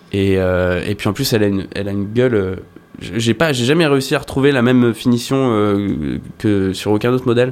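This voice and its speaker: At a moderate pace, a man with an unremarkable speaking voice talks at a fairly low pitch with ordinary pitch variation. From France, La Rochelle. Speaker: rock guitarist. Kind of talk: casual interview chat. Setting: studio.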